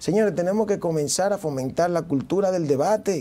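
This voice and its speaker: In a Dominican accent, the speaker keeps a moderate pace with a dark, mellow tone and ordinary pitch variation. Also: man. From Dominican Republic, Santo Domingo; Dominican Republic. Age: 30s. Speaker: mayoral candidate; candidate. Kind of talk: TV interview. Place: studio. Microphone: lapel.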